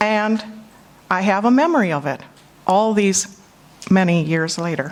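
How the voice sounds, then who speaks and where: With a Minnesotan accent, a woman speaks at a medium pitch. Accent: Minnesota. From US Midwest, Minnesota. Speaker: conference speaker and panel moderator. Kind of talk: conference talk. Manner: emotional, choking up.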